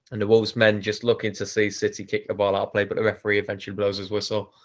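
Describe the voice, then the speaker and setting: In a put-on character voice, a man talks very fast, hoarse and fairly low-pitched, with monotone, flat intonation. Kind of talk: football commentary.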